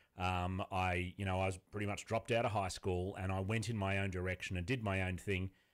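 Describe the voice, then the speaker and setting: The speaker talks at a fairly quick pace with an Australian accent and flat, monotone intonation. Loudness stays very even on a very clean recording with a silent background. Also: man, very deep, low pitch for a man, hardly any pauses. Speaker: author and business owner. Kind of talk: interview.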